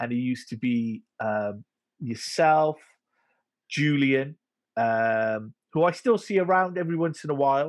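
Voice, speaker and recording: Over a quiet background, a man speaks at a fairly slow pace in a fairly high pitch with lively intonation. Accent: Welsh. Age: 40. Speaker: podcast host. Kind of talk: casual interview.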